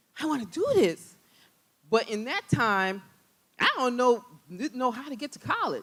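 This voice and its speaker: An animated tone with very wide pitch swings. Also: woman. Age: 50s. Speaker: self-taught app developer. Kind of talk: conference talk. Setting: stage with audience. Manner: loud.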